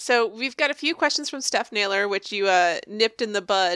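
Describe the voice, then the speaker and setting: With a normal speaking voice, a woman at medium pitch talks at a fairly quick pace with lively intonation, her sound dry and close with no echo on a very clean recording with a silent background. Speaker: podcast host. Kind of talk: casual interview.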